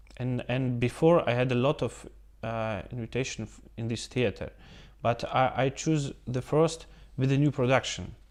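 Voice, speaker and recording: On a very clean recording with a silent background, a man with a Russian accent speaks at a medium pitch and moderate pace with fairly even intonation. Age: young. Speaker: opera singer. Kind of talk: interview. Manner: halting.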